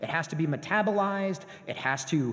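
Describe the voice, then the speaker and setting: Lively intonation marks this man's speech. Noticeable background noise runs underneath. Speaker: professor. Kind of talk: lecture. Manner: fast.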